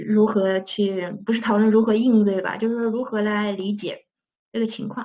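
A woman's fairly high, somewhat breathy voice with a dark, mellow tone, flat monotone intonation and a moderate pace. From China. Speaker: school teacher. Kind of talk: interview answers.

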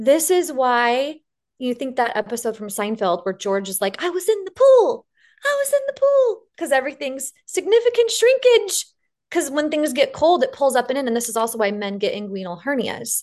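Her pitch is high and swings very widely as this woman speaks with a slight Western US accent. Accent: slight western US drawl. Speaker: fitness business founder. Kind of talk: interview.

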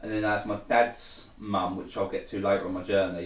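A man with a fairly low pitch at a moderate pace, with audible room echo. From Essex, England (Thurrock). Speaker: recovering addict sharing his story. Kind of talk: testimony.

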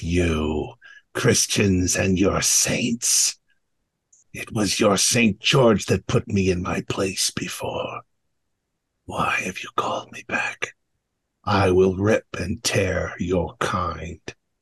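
A man's put-on character voice, raspy and hissing, fairly low in pitch, at a very slow pace with long, frequent pauses. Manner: menacing, threatening.

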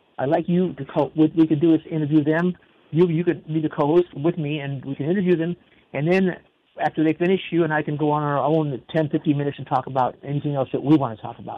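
This man speaks very fast in a fairly high voice, his intonation fairly even. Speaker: radio host. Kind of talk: radio interview show.

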